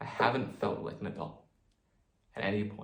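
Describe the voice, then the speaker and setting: A somewhat breathy man at a moderate pace, with audible room echo. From New Zealand. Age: 20s. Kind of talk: personal vlog monologue. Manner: halting.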